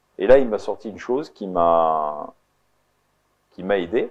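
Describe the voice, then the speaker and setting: Lively intonation marks a man's fairly slow delivery. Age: 60s. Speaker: entrepreneur and mediator. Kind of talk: interview. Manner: hesitant, many fillers.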